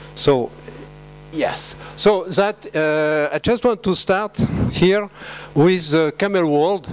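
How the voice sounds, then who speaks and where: Over music in the background, a man with a French accent and a high pitch speaks at a very slow pace with long, frequent pauses. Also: ordinary pitch variation. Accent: French, noticeable. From France. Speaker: veterinary scientist. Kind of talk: conference talk. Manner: halting with many fillers.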